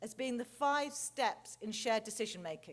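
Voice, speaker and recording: With an English accent, a woman speaks in a high voice with lively intonation. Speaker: clinical researcher. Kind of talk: conference lecture. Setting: stage with large audience. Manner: fast.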